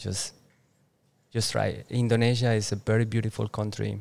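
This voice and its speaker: A man's fairly low voice with a Spanish accent, at a fairly slow pace in a monotone, flat intonation. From Colombia, Boyacá (Duitama). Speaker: entrepreneur. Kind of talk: interview. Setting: outdoors with birds, Bali. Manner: hesitant, many fillers.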